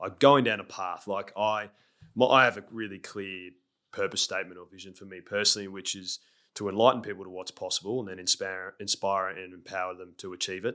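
Over a very clean recording with a silent background, a man with an Australian accent talks at a fairly quick pace and fairly low pitch, his tone bright and sharp, his intonation fairly even, and his loudness swinging widely. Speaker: former pro footballer, leadership coach. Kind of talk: interview conversation. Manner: sometimes fast.

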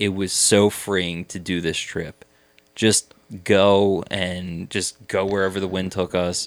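A man with a Philadelphia accent and a very deep, low pitch, on a very clean recording with a silent background. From Abington, suburb of Philadelphia. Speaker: real estate developer. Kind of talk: casual chat. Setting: home podcast room.

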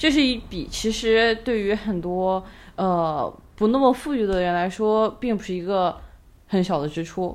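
At a fairly slow pace, a woman speaks on a very clean recording with a silent background. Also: medium pitch for a woman, lively intonation. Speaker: podcast co-host. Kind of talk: casual chat. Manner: soft-spoken.

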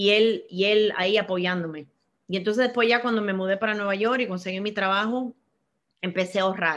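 The background is quiet as a woman speaks at a medium pitch and fairly quick pace. Her intonation is fairly even. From Miami, US (born in Cuba). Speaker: banking executive. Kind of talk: interview. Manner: halting, frequent fillers and repetitions.

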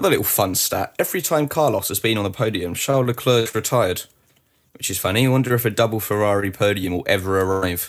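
A man talks at a very fast pace with a British accent. His pitch varies in an ordinary way. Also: fairly low pitch for a man. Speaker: lead podcast host. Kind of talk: radio dj patter. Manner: upbeat, fast, energetic.

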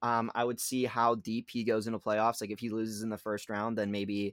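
In a very clean recording with a silent background and a dry, close sound with no echo, a man speaks at a moderate pace in a medium pitch. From Pittsburgh area, Pennsylvania. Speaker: sports podcast co-host. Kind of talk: casual sports chat. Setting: home basement. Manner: halting, many fillers.

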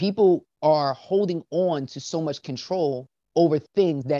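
A man with an American accent has an ordinary speaking voice, a fairly high pitch and ordinary pitch variation. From South Jersey, US. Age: 30s. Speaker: professional dancer and father. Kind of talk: interview.

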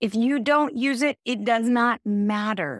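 A woman speaks with an American accent in an animated tone and lively intonation. The recording is very clean and dry, close with no echo, over a silent background. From US, Central California. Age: 50s. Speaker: decluttering expert and author. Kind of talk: interview.

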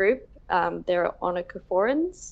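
Lively intonation marks this woman's medium-pitched voice, heard with an Australian accent. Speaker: velvet worm researcher. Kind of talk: interview.

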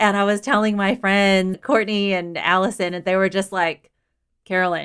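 A woman with an American accent and a normal speaking voice talks at a fairly slow pace, her medium pitch carried in fairly even intonation. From Houston, Texas. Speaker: runner and diversity advocate. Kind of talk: casual interview.

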